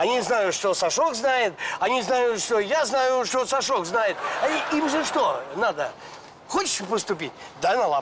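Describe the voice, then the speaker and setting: A man speaks over noticeable background noise. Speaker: comic character. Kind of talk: scripted sketch dialogue. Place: street.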